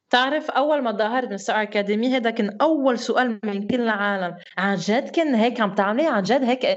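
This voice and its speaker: An ordinary speaking voice moves at a moderate pace with ordinary pitch variation and hardly any pauses. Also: woman, fairly high pitch for a woman. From Lebanon, raised partly in France. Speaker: singer, talent show graduate. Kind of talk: casual interview chat.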